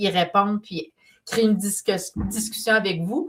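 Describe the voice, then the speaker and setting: In a Quebec accent, a woman speaks somewhat breathily at a fairly slow pace with fairly even intonation. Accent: Québécois French. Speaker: painter and business mentor. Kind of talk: live stream talk.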